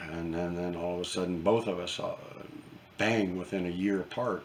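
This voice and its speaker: Amid noticeable background noise and audible room echo, a man with a very deep, low voice speaks fairly slowly with fairly even intonation. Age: 70s. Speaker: retired gunsmith vlogger. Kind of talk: casual monologue to camera. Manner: halting, many fillers and repeats.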